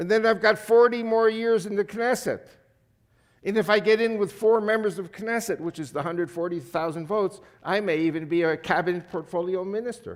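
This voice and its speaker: With an American accent and a high pitch, a man talks at a fairly quick pace with ordinary pitch variation on a very clean recording with a silent background. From USA. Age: 70s. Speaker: guest speaker and politician. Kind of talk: church talk.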